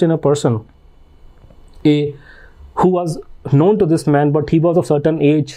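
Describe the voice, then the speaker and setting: The speaker has an Indian accent and a dark, mellow tone. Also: man. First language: Hindi. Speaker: author and researcher. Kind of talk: podcast interview. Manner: halting with frequent fillers.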